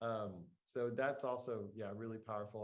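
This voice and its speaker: With an American accent and fairly even intonation, a man talks at a fairly low pitch in an ordinary speaking voice. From Texas, Lubbock. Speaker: meditation teacher and host. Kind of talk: casual chat. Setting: video call.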